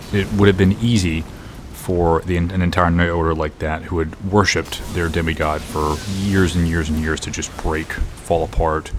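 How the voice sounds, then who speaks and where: A man speaks quietly in a very deep, low voice with fairly even intonation. His pace is moderate, and music plays in the background. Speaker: gaming youtuber. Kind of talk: casual commentary. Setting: home recording setup. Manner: quiet, subdued.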